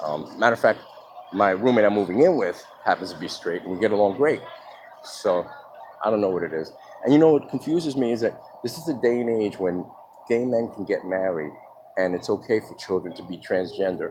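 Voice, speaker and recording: Over noticeable background noise, a man with a fairly low voice talks at a fairly quick pace with lively intonation. Long, frequent pauses break up his speech. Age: 50s. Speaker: vlogger telling his life story. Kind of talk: personal testimony monologue. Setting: outdoors in the sun. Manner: casual, conversational.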